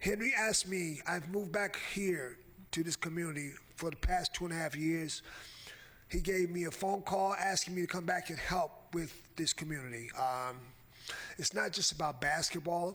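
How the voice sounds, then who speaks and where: This man talks at a moderate pace in a high pitch. His pitch varies in an ordinary way. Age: 60s. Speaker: public commenter at county meeting. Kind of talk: public comment speech. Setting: county commission meeting. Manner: halting, many fillers.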